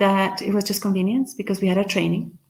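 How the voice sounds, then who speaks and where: A woman's somewhat breathy, medium-pitched voice with a Guatemalan accent and audible room echo. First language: Spanish. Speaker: motivational speaker. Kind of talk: conference talk, storytelling. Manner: animated.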